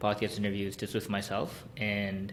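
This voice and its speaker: Audible room echo carries a man's fairly low-pitched voice. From South Korea and Hong Kong. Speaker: podcast host. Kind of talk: solo podcast monologue. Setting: recording room at parents' home. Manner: casual, hesitant with fillers.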